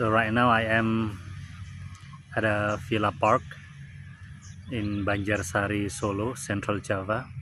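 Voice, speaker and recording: A man talks slowly-ish, with fairly low pitch and fairly even intonation. Long pauses come often between his words. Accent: Indonesian. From Indonesia. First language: Indonesian. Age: 40s. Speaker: vlogger. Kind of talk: casual monologue. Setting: outdoors in a park. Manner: halting, many fillers.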